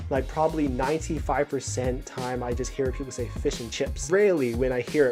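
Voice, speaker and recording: Music plays in the background as a man talks at a fairly quick pace. His tone is upbeat. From New Zealand. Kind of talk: casual talk to camera.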